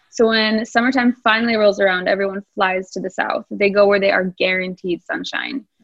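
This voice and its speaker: A woman speaks with an American accent at a fairly quick pace, with hardly any pauses. Her pitch is medium, and its variation is ordinary. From US Midwest, Wisconsin. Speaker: expat professional. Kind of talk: interview.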